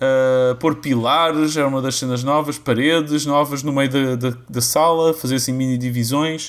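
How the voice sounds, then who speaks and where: A man's medium-pitched voice in a flat monotone, with hardly any pauses. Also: moderate pace. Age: 30s. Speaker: podcast host. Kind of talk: casual chat.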